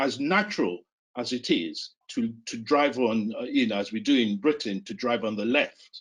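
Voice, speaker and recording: A man with a Yoruba accent speaks at a moderate pace with lively intonation. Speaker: psychiatry professor. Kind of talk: interview discussion. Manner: halting.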